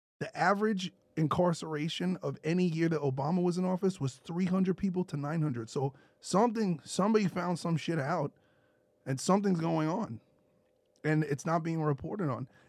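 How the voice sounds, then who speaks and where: A man with a New York accent talks at a fairly quick pace in a high voice, with ordinary pitch variation. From US Northeast (Brooklyn, New York). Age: 30s. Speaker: podcast co-host. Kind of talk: casual chat. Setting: studio.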